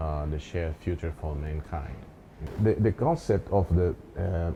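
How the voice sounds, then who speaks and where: A man with a very deep, low pitch and a dark, mellow tone speaks at a fairly slow pace, somewhat breathy, with ordinary pitch variation. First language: Portuguese. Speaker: professor. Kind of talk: interview conversation.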